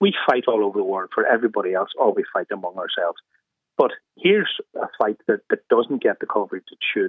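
This man speaks with an Irish accent at a fairly quick pace. His loudness swings widely. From Ireland. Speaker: radio caller. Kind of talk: radio phone-in.

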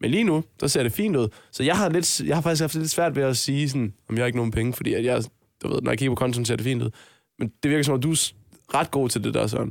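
A man speaks very fast at medium pitch. The recording is very clean and dry, with a close sound, no echo and a silent background. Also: ordinary pitch variation, very even loudness. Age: 20s. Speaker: podcast co-host. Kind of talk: casual chat.

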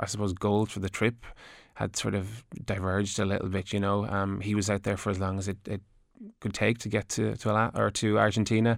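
A man with a Wexford Irish accent, fairly low pitch, fairly quick pace, and monotone, flat intonation, on a very clean recording with a silent background. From Ireland (Gorey, County Wexford). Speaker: adventure cyclist and author. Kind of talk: radio interview. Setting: radio studio.

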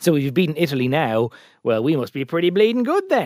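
A man speaks very fast with an Irish accent, his voice dry and close with no echo on a very clean recording against a silent background. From Ireland, County Meath. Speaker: political journalist. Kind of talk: casual chat.

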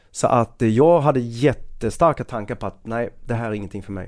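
A normal speaking voice moves at a fairly quick pace. The recording is very clean, with a silent background. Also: man. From Skåne, southern Sweden. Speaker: police officer. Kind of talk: casual chat.

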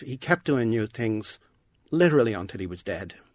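A man with a Dublin accent talks at a moderate pace in a medium pitch, his intonation lively. The sound is dry and close with no echo, in a very clean recording with a silent background. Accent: Dublin Irish. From Ireland, Dublin. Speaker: professor of literature. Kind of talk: interview. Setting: studio.

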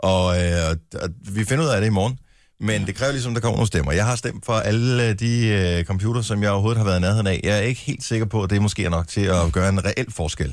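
On a very clean recording with a silent background, a man speaks very fast at a fairly low pitch, with ordinary pitch variation and very even loudness. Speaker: radio host. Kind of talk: casual chat. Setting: studio.

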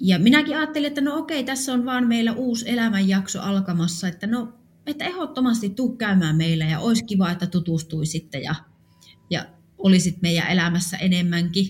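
The voice moves at a fairly quick pace and sounds somewhat breathy. Its pitch makes very wide swings. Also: woman, medium pitch for a woman. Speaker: funeral home owner. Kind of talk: personal testimony.

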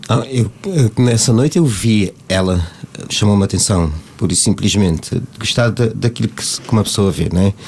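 At a moderate pace, a man with a fairly low pitch and ordinary pitch variation talks over noticeable background noise. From Cape Verde. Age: 50s. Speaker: singer. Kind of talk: casual chat. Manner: halting.

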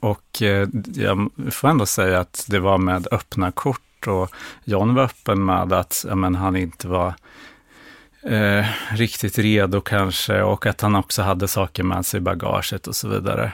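A man's fairly low voice at a fairly slow pace with fairly even intonation, in a very clean recording with a silent background and a dry, close sound with no echo. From rural Sweden. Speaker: therapy client. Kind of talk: therapy session. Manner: halting.

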